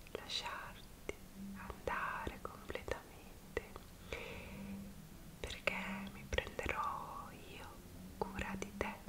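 Noticeable background noise fills the clip. A woman speaks at a very slow pace. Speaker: ASMR creator. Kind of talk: ASMR roleplay, personal attention. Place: home room. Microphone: earbuds.

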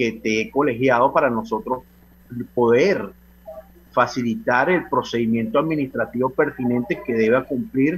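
Lively intonation runs through a plain, everyday voice delivered at a fairly slow pace. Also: man. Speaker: professional association president. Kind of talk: radio interview.

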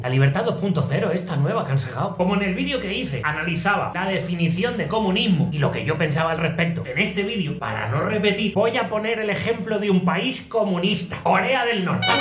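Pitched high, a man talks at a fairly quick pace with hardly any pauses and ordinary pitch variation, with audible room echo and light background noise. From Spain. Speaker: comedian. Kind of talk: comedy monologue to camera. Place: home room. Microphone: phone near.

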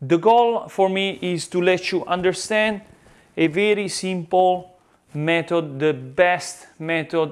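Speech comes at a very slow pace. It carries an Italian accent. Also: man, high pitch for a man. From Italy. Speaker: pizza chef and YouTuber. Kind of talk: tutorial. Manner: animated; halting. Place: kitchen. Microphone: lapel.

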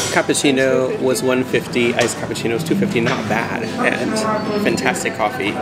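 Clear music plays behind a man who talks fairly quickly. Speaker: travel vlogger. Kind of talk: casual vlog chat.

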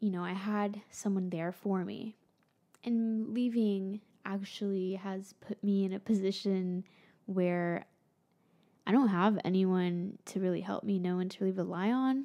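A dark, mellow voice with an American accent speaks at a fairly slow pace. The intonation is fairly even and the background is quiet. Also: woman, medium pitch for a woman. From Florida. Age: 20s. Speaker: YouTuber and musician; YouTuber. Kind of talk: vlog monologue. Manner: casual, conversational. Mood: reflective, candid. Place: home room. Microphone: studio mic.

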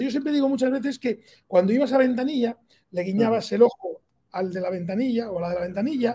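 A man's dark, mellow voice at a fairly quick pace, with lively intonation over a quiet background. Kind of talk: interview answer. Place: office. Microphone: video call.

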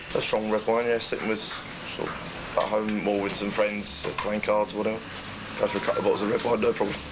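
Very rapid male speech amid noticeable background noise. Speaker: benefits office worker. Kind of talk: documentary interview. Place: shop.

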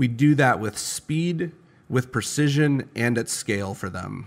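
An ordinary speaking voice from a man, with ordinary pitch variation and a moderate pace. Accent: American. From Chicago, US Midwest. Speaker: startup founder and CEO. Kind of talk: interview. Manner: casual.

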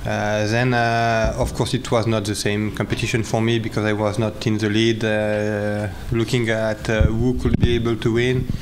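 Noticeable background noise runs behind a man's voice. He talks at a moderate pace with monotone, flat intonation. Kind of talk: interview answer. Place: hall. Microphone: podium.

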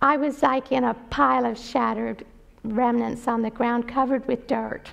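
Lively intonation in a high female voice. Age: 60s. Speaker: retired nurse and missionary. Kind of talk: mission talk, testimony. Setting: church with audience. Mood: earnest storytelling. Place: church.

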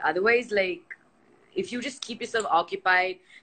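A bright, sharp tone with lively intonation. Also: woman. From India. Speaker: nutritionist and health coach; live video host. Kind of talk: casual live-stream chat; casual conversation on a live video. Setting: online live video session. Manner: fast, filler-heavy. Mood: relaxed, chatty. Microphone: phone near.

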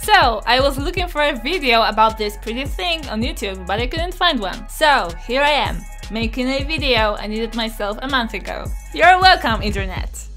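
Over clear music in the background, a woman with a Polish accent and a high pitch speaks in an upbeat tone at a moderate pace. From Poland. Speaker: YouTuber. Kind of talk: product review to camera. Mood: cheerful, enthusiastic. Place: home room. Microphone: studio mic.

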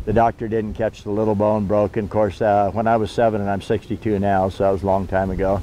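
A man speaks at a fairly quick pace with a fairly low pitch and monotone, flat intonation. The sound is dry with no echo, over light background noise. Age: 60s. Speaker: outdoor gear seller. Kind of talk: casual promotional talk. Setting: outdoors. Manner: halting, many fillers. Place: forest.

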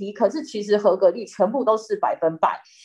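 A moderate pace carries the talking, with a quiet background behind it. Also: woman. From Taiwan. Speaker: news reporter. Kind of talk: interview explanation. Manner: halting with fillers. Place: home room. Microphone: webcam.

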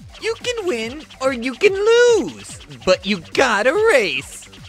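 Slow and cartoonish, a character voice swings very widely in pitch over faint music in the background.

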